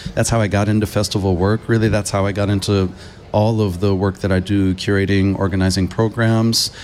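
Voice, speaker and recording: In a Californian accent, a man talks at a fairly quick pace with monotone, flat intonation and very even loudness. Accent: Californian American English. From US West Coast, Los Angeles. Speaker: film curator and researcher. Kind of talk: radio interview. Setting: festival live radio broadcast.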